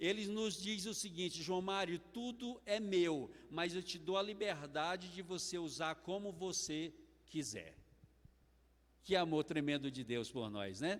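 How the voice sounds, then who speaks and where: With lively intonation, a man talks at a fairly slow pace and a high pitch. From Brazil, Maranhão. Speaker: preacher. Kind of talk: sermon. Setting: church.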